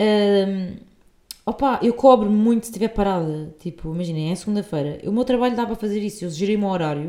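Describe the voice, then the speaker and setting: A woman with a European Portuguese accent, a dark, mellow tone and medium pitch. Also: ordinary pitch variation, fairly quick pace. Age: 20s. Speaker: podcast host. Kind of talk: casual monologue. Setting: at home on sofa.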